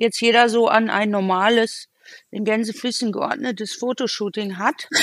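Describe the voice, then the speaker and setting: In a normal speaking voice, a woman talks at a moderate pace with fairly high pitch and ordinary pitch variation. The recording is very clean, with a silent background. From Cologne, Germany. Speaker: photographer. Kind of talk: casual chat. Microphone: sync problems after minute 22.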